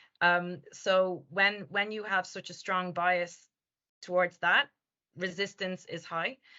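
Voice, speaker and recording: Speaking at a fairly slow pace, a woman with an Irish accent has a medium pitch. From Ireland. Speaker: language company founder and presenter. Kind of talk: webinar Q&A answer. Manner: hesitant, many fillers.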